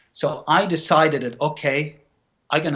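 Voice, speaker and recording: A man with a Scandinavian accent, fairly high-pitched, at a moderate pace. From Norway. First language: Norwegian. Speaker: actor and bodybuilder. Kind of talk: interview. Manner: halting, repeats words.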